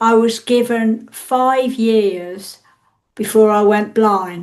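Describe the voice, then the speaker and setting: Speaking very slowly with an English accent, a woman keeps a fairly high pitch and fairly even intonation. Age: 60s. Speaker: interviewee with visual impairment. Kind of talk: interview testimony.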